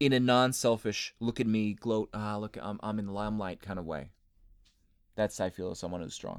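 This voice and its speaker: A man with a normal speaking voice talks at a fairly quick pace and a fairly low pitch, his pitch varying in an ordinary way, in a very clean recording with a silent background. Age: 30s. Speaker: podcast host, anime and gaming blogger. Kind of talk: casual chat.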